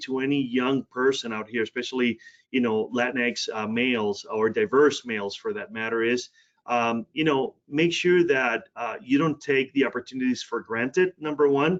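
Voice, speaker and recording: In a dry, close sound with no echo, a man with a Spanish accent speaks at a moderate pace, with a medium pitch and ordinary pitch variation. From Puerto Rico, then Cleveland, Ohio from age 13. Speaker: healthcare diversity executive. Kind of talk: podcast interview.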